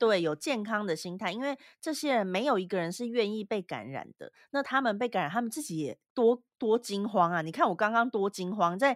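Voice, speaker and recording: Recorded very cleanly against a silent background, with a dry, close sound and no echo, a woman with an unremarkable speaking voice talks at a fairly quick pace, her medium pitch carrying lively intonation. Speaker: podcast co-host. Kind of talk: casual chat.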